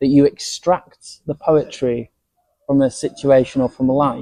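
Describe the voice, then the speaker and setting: With a dark, mellow tone and a fairly high pitch, a man speaks at a moderate pace in a Yorkshire accent, the sound dry and close with no echo. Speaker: podcast host. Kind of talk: interview.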